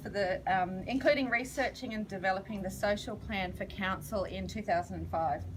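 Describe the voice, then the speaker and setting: In an Australian accent, a woman speaks at a fairly quick pace. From Australia, Gunnedah, New South Wales. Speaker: charity founder and counsellor. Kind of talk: public speech. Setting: launch event with audience.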